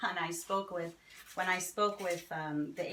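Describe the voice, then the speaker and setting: A woman talks with an American accent. Noticeable noise sits behind her. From New Jersey. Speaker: fantasy author and festival vendor. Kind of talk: casual interview.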